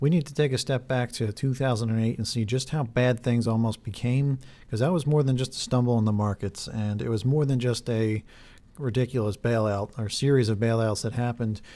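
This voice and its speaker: On a very clean recording with a silent background, a man with a dark, mellow tone and medium pitch speaks at a fairly quick pace with fairly even intonation. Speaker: conspiracy video creator. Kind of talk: video monologue. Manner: fast.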